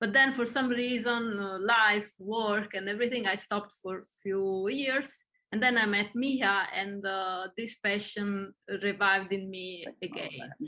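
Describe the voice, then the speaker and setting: A woman with an Italian accent speaks at a fairly slow pace with fairly even intonation. Her pitch is medium and her tone bright and sharp. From Italy, Naples. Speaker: acting student. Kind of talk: casual chat. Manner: halting.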